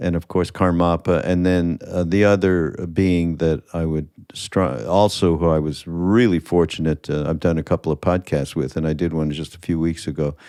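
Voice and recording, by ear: A man speaks at a moderate pace with a low pitch, a dark, mellow tone, little pitch movement and few pauses. The recording is very clean, with a silent background.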